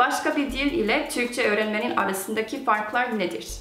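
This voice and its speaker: Music plays in the background as a woman speaks at a moderate pace with audible room echo. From USA. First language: Korean (speaking Turkish). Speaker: YouTuber, language learner. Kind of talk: casual chat in Turkish. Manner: halting, with many fillers.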